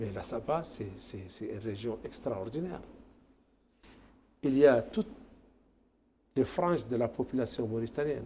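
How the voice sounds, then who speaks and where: Speaking at a medium pitch and a fairly slow pace, a man sounds somewhat breathy and leaves long, frequent pauses. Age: 60s. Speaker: tourism federation official. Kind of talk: TV interview. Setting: TV studio.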